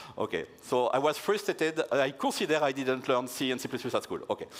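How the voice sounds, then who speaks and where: A man with a French accent. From France. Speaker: security researcher, conference keynote speaker. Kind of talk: conference keynote talk. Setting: stage with audience. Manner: halting.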